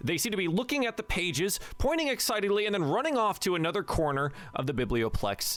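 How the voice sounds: The clip features a natural reading voice.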